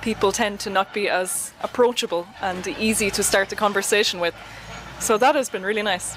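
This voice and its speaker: Against noticeable background noise, a woman with an Irish accent talks at a fairly quick pace, her medium-pitched voice fairly even in intonation. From Ireland. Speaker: traveler interviewed as guest. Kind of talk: interview.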